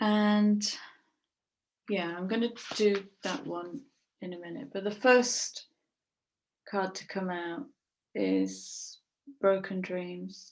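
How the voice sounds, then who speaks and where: A woman at medium pitch talks at a very slow pace, with long, frequent pauses and ordinary pitch variation. Her loudness swings widely. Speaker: tarot reader. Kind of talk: tarot reading. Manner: hesitant, many filler sounds.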